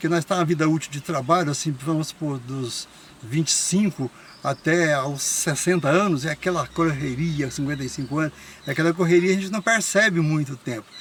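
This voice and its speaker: Against noticeable background noise, a man talks at a fairly quick pace with fairly high pitch and ordinary pitch variation. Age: 70s. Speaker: interviewee, elderly local resident. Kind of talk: casual interview chat.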